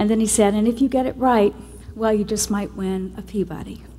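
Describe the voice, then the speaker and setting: Somewhat breathy and fairly high, the woman's voice shows ordinary pitch variation. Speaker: television executive producer. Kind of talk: award acceptance speech.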